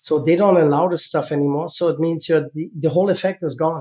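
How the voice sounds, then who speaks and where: High-pitched man's voice, fairly even in intonation, at a moderate pace. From East Germany. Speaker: former Olympic gymnast and seed oil entrepreneur. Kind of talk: podcast interview.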